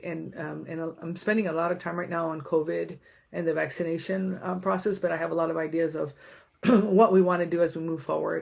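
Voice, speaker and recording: A woman talks at a very fast pace with vocal fry and a fairly low pitch. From San Diego, raised after birth in Tijuana. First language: Spanish. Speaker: county supervisor, local politician. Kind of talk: community meeting speech. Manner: casual, with many fillers.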